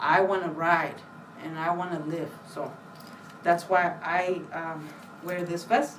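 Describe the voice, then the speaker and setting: With a Spanish accent, a woman speaks at a fairly slow pace in a fairly low pitch, over noticeable background noise and audible room echo. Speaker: library staff giving book talk. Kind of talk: book talk for children. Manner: casual, hesitant with fillers.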